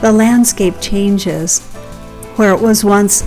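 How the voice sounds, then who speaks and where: A woman's very slow speech over music in the background. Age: 60s. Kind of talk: casual talk to camera.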